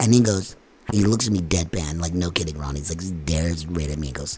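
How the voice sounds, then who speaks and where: A man's very deep, low voice at a fairly quick pace, with ordinary pitch variation and noticeable background noise. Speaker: podcast host and band musician. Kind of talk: casual interview.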